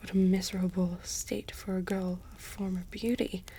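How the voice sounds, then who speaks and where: The speaker is whispering, soft-spoken throughout. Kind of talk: audiobook reading. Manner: whispered, soft-spoken.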